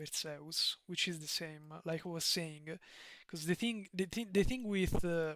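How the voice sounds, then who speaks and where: Speaking at a fairly slow pace, a man with a high pitch talks in a strong Italian accent. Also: ordinary pitch variation. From Italy. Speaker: streamer. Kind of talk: live stream chat. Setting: live stream. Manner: halting, frequent repetitions and fillers.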